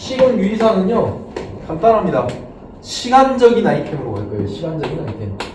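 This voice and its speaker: A man talks fairly fast in a room with audible echo and noticeable background noise. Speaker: exam prep lecturer. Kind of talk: lecture.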